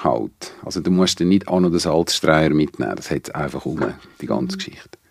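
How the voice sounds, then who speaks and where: A man with vocal fry and a very deep, low pitch speaks at a moderate pace in a dry, close sound with no echo. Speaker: venue operator and sound technician. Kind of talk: casual interview. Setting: studio.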